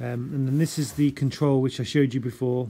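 A man's dark, mellow tone at a fairly quick pace with fairly even intonation, amid noticeable background noise. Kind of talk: tutorial. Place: home room. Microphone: phone near.

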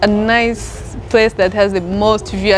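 A woman speaks at a fairly slow pace. Faint music sits in the background. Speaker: travel company guide. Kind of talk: interview answer. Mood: cheerful, laughing. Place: garden.

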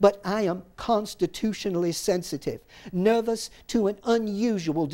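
A natural reading voice, pitch changing in an ordinary way

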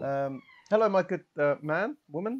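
With light background noise behind him, a man speaks in a British accent. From United Kingdom. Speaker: tabletop role-playing game player and stream host; stream host. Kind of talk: live-streamed tabletop role-playing session, casual banter. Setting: live stream. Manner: animated, jokey. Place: home room.

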